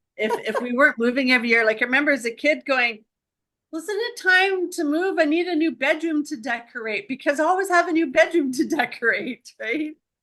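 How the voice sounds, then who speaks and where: A woman projects a raised voice at a high pitch with a bright, sharp tone. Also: fairly quick pace. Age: 60s. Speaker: wellness business owner, former accountant. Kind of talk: casual chat.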